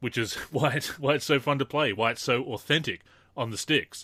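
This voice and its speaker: With an Australian accent, a man speaks at a fairly quick pace in a bright, sharp tone, recorded very cleanly against a silent background. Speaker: podcast host. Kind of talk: casual chat.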